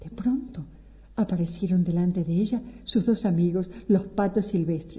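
With ordinary pitch variation, someone reads aloud plainly.

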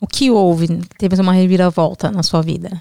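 Her voice is dark and mellow, at a medium pitch for a woman, at a moderate pace. The sound is dry and close, with no echo. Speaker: podcast host. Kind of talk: interview.

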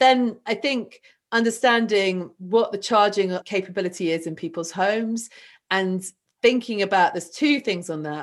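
Against a quiet background, a woman speaks with a southern English accent and ordinary pitch variation. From southern England. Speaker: renewable energy entrepreneur. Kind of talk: interview conversation.

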